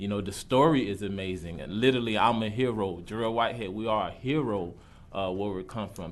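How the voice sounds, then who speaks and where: A man speaks at a fairly quick pace with a fairly low pitch, ordinary pitch variation, and audible echo from the room. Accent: American. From Jacksonville, Florida (US South). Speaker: college student, public commenter. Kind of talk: public comment at a government meeting. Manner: halting, many fillers.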